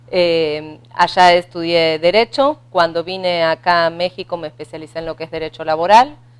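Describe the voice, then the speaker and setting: With an Argentine accent, a woman speaks in a fairly low pitch at a moderate pace, with hardly any pauses. Her intonation is fairly even, while her loudness swings widely. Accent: Argentine, noticeable. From Argentina. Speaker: labor lawyer. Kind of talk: radio interview.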